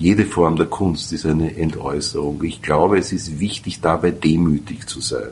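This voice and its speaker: A man's very deep, low, somewhat breathy voice at a moderate pace with ordinary pitch variation. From Austria, Vienna. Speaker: radio host and sociologist. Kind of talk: interview.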